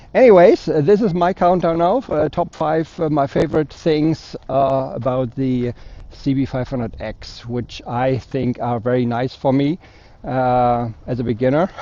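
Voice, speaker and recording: A German accent at a fairly slow pace. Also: man, medium pitch for a man, ordinary pitch variation. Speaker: motorcycle vlogger. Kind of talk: motovlog review. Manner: hesitant, many fillers.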